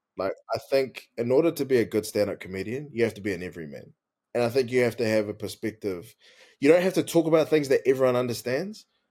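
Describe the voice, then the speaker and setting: Speaking at a very fast pace with lively intonation, a man with a New Zealand accent and a medium-pitched voice comes through on a very clean recording with a silent background. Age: 20s. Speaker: comedian. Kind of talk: casual chat.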